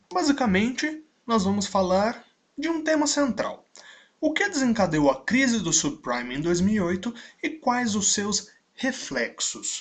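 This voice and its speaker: Speaking at a fairly slow pace, a man uses a high voice with very wide pitch swings. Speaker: business consultant, online instructor. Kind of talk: video lecture.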